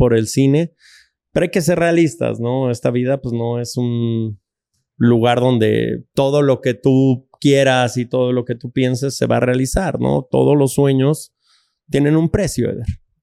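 A man speaks at a fairly slow pace in a dark, mellow tone with fairly even intonation, recorded very cleanly against a silent background with a dry, close sound and no echo. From Mexico City. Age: 40s. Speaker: filmmaker and author. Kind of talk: casual interview chat.

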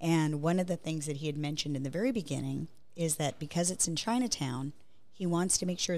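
A woman speaks at a fairly quick pace in a very deep, low voice with ordinary pitch variation. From Hawaii, Honolulu. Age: 50s. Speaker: architecture business developer. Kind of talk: casual interview.

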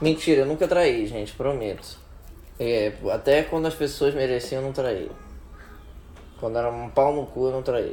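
A man speaks at a medium pitch with a dark, mellow tone and ordinary pitch variation. His pace is moderate, broken by long, frequent pauses. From Rio de Janeiro, Brazil. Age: 20s. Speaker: podcast co-host. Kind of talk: casual chat.

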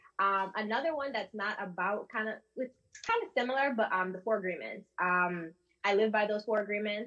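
A woman speaks in an ordinary speaking voice at a medium pitch with ordinary pitch variation. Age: 20s. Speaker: bookkeeper and accountant. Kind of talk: panel discussion. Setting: video call.

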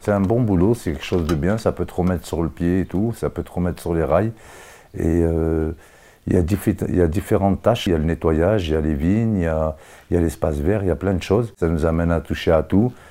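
In a very clean recording with a silent background, a man with a very deep, low pitch and a dark, mellow tone speaks at a fairly quick pace with ordinary pitch variation. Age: 40s. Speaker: inmate on outside placement. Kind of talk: interview testimony. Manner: casual, hesitant with fillers.

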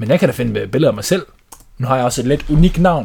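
With a somewhat breathy voice, a man delivers his words in a lively, varied intonation. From Denmark. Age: 20s. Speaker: podcast host, house painter. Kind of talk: casual chat.

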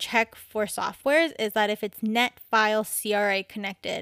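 A woman with a Canadian accent, an ordinary speaking voice, at a moderate pace, on a very clean recording with a silent background and a dry, close sound with no echo. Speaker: podcast host. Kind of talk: casual solo talk. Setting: home recording at a microphone.

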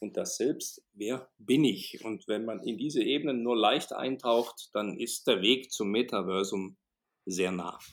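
A man at a very slow pace, medium-pitched, with ordinary pitch variation. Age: 50s. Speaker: motivational speaker and management trainer. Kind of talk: interview.

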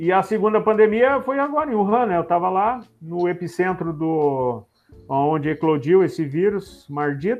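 Music plays in the background as a man speaks at a moderate pace, his high pitch carried by lively intonation. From Rio Grande do Sul, Brazil. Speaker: airline pilot. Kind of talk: casual interview.

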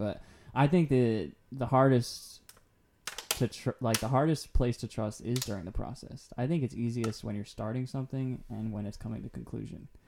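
Speaking at a moderate pace, a man has a plain, everyday voice, a medium pitch and ordinary pitch variation. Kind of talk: casual faith-based podcast conversation.

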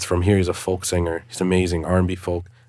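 A man's very deep, low voice at a fairly quick pace, with noticeable background noise. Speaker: music producer and audio engineer. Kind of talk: casual interview chat. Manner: animated.

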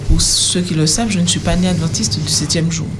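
A woman with a fairly low pitch speaks amid noticeable background noise. Audible room echo is present. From Martinique, Le Lamentin. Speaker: youth panelist. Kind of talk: radio panel discussion.

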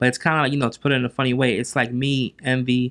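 Recorded very cleanly with a silent background, a man in a New Jersey accent speaks at a fairly quick pace. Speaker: real estate investor. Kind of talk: interview.

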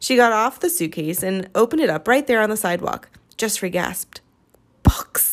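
Reading aloud, plain

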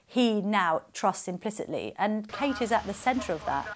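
In a very clean recording with a silent background, a woman with an unremarkable speaking voice talks at medium pitch and a moderate pace. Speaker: royal commentator. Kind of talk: documentary interview.

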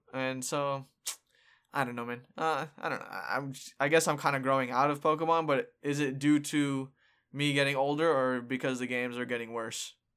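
The delivery is flat and monotone at a moderate pace. The recording is very clean with a silent background. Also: man, fairly high pitch for a man. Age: 20s. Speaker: podcast host. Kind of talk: casual chat.

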